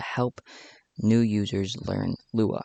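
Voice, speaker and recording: Flat, monotone intonation comes from a man with a fairly low pitch. The sound is dry and close with no echo, and the background is quiet. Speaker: Roblox Lua coding tutorial maker. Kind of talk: screen-recorded coding tutorial. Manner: some stuttering and hesitant speech.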